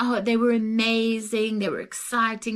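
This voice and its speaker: Here a woman speaks with a Zimbabwean accent and a fairly high pitch. Her pace is moderate. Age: 60s. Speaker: travel vlogger. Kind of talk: casual chat.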